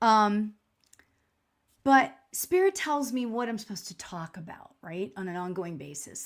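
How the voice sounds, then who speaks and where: A woman speaks loudly at a moderate pace, with an animated tone and lively intonation. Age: 60s. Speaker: spiritual medium. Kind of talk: live stream talk. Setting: livestream in home spirit room.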